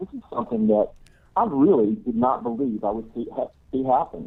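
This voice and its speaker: At a moderate pace, a man with an ordinary speaking voice talks at a medium pitch with lively intonation. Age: 50s. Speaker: caller. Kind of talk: call-in comment. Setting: phone call.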